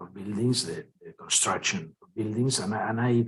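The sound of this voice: A man's fairly low voice, fairly bright in tone with a husky, rough edge.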